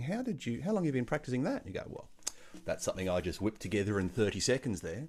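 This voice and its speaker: A man with an Australian accent. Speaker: music workshop leader. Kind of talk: online music tutorial.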